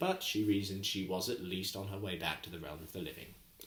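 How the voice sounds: The passage is read aloud in a natural voice.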